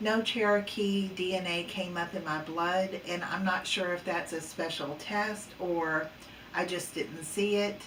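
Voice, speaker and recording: A woman's fairly low voice, fairly slow and fairly even in intonation, with audible room echo and noticeable background noise. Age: 60s. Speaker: psychic paranormal researcher. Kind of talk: casual vlog monologue. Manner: hesitant, many fillers.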